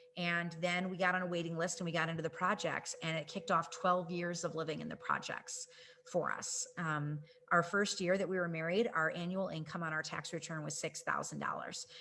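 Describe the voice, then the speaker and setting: A woman's fairly low voice at a fairly quick pace, monotone and flat, with noticeable background noise. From US Midwest, suburban Chicago. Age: 40s. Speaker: network marketing leader, trainer. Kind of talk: personal testimony in a training presentation. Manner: casual with many fillers.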